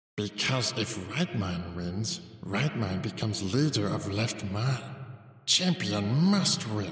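A man speaks in a put-on character voice at a fairly low pitch and a fairly slow pace. There is a clear echo around him. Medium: read story. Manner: broken, clipped sentences, refers to himself by name.

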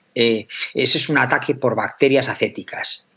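This man has a normal speaking voice with a medium pitch. He talks at a moderate pace. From Aragón, Spain. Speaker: chemistry professor. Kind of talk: interview.

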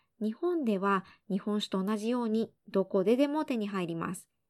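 A woman is speaking. The recording is very clean with a silent background and a dry, close sound with no echo. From Japan. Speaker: podcast host and Spanish interpreter. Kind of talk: bilingual language-learning podcast. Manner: clear, measured delivery.

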